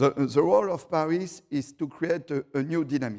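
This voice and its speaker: Speaking at a fairly slow pace, a man with a strong French accent uses a fairly high pitch. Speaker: city councillor. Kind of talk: panel presentation. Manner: halting.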